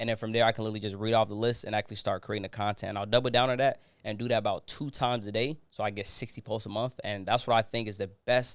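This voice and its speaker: A man talks at a very fast pace with hardly any pauses, in an animated tone at a medium pitch. The recording is very clean, with a silent background. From Ghana, moved to US as child. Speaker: social media expert. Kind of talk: podcast interview. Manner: casual, animated.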